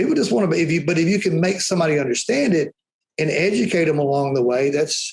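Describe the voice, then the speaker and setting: A man talks very fast at a high pitch with ordinary pitch variation. He has a strong Alabama accent. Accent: Alabama Southern accent, strong. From Alabama, US South. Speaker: powder coating trainer and business owner. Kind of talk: podcast interview. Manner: animated.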